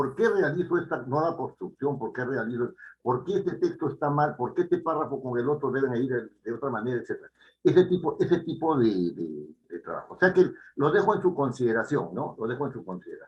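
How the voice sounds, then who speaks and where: Speaking at a fairly quick pace, this man has a fairly high pitch and vocal fry. His intonation is lively. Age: 70s. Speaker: writing teacher. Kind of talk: lecture. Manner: halting.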